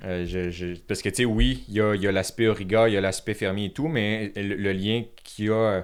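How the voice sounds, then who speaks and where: An ordinary speaking voice at a fairly quick pace with ordinary pitch variation, in a very clean recording with a silent background. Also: man, fairly low pitch for a man. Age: 20s. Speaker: content creator, app founder. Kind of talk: podcast interview.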